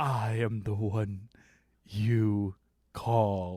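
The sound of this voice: A booming put-on character voice on a very clean recording with a silent background. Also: man.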